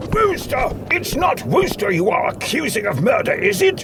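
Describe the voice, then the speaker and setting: A man puts on a character voice, speaking at a moderate pace with loud noise behind him. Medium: audio drama. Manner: curt, commanding.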